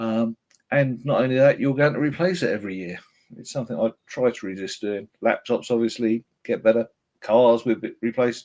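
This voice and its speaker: A man with a British accent speaks at a moderate pace in a medium pitch, with ordinary pitch variation. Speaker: software vendor presenter. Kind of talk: webinar presentation. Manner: hesitant, frequent filler words.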